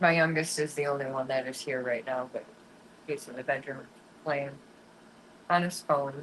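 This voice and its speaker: A woman speaks at a moderate pace in a very deep, low voice, with long, frequent pauses. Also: fairly even intonation. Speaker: fishing livestreamer. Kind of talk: casual livestream chat with viewers.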